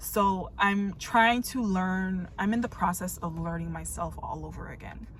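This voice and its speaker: In an American accent, the voice moves at a very slow pace amid audible room echo. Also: woman. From New York. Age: 30s. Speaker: vlogger. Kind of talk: casual chat. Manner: halting.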